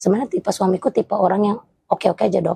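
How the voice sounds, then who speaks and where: A woman's medium-pitched voice with ordinary pitch variation runs at a very fast pace. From Batak, North Sumatra, Indonesia. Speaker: interviewee sharing fertility journey. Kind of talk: interview testimony. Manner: loud.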